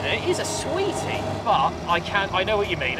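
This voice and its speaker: A man's voice is heard over loud background noise. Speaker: car reviewer. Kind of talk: casual road-test commentary. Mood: cheerful, enthusiastic. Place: car. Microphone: lapel.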